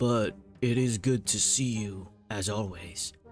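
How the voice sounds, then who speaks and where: Over faint music in the background, a man uses a put-on character voice that is gravelly and raspy. He speaks at a fairly low pitch and a fairly slow pace. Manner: amused, welcoming.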